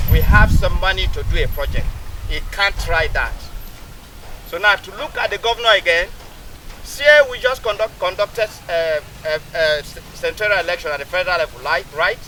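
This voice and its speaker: Moderate-paced speech from a man over noticeable background noise. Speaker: construction engineer. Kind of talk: public address to community.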